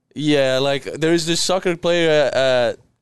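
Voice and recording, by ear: At a fairly slow pace, a man talks in a clear, smooth tone with fairly high pitch and ordinary pitch variation.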